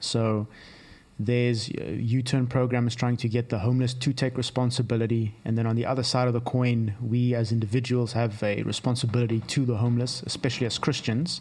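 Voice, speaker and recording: A man with a plain, everyday voice, medium pitch and fairly even intonation, at a fairly quick pace. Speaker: podcast co-host. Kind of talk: interview.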